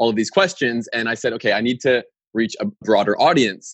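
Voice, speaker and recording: A man with a Canadian accent and a normal speaking voice talks at a fairly quick pace and medium pitch. The sound is dry and close, with no echo. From Canada, Winnipeg, Manitoba. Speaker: podcaster and business owner. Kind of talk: interview.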